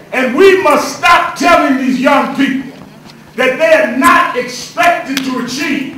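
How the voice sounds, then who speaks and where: With noticeable noise in the background, a man with an American accent projects a raised voice at an extremely high pitch, talking at a fairly slow pace with ordinary pitch variation. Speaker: civil rights leader and minister giving a speech. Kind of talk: rousing public speech to lawmakers.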